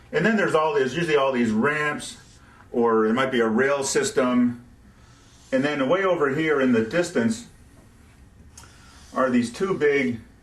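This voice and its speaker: A man at a medium pitch and moderate pace, lively in intonation, very even in loudness, with long, frequent pauses and audible room echo. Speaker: rocket science tutor. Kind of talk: tutorial. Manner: casual, with fillers and repeated words.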